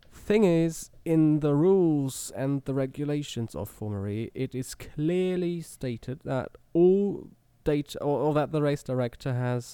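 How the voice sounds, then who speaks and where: A man speaks in a dark, mellow tone with a German accent. The recording is very clean, with a silent background. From Germany. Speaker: motorsport journalist. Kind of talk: casual chat.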